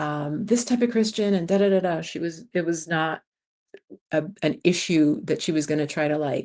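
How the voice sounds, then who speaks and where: A woman has an ordinary speaking voice at a fairly low pitch. She keeps a moderate pace. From New York City, US Northeast (early childhood in Jamaica). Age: 60s. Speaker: expat YouTuber, former community college teacher. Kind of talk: casual livestream chat. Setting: live stream from home.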